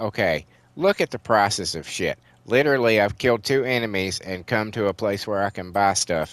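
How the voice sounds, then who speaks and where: In a very clean recording with a silent background, a man speaks at a fairly low pitch. His pace is moderate and his pitch varies in an ordinary way. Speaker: gaming YouTuber. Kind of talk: let's play commentary. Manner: casual, halting.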